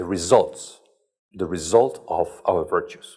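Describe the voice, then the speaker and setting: A man speaks with a non-native accent. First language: not English. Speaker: lecturer on leadership ethics. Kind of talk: lecture. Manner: relaxed.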